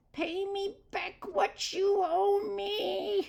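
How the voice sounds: A put-on character voice, growling at an extremely high pitch, leaps through very wide pitch swings.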